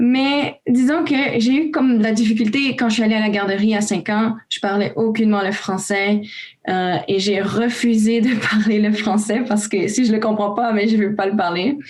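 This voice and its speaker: A woman with a Romanian accent speaks at a moderate pace, her fairly high voice showing ordinary pitch variation. Her loudness stays very even, and background noise is noticeable. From Romania, raised in Canada from age 5. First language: Romanian (speaking French). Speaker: youth volunteer. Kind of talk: casual panel discussion.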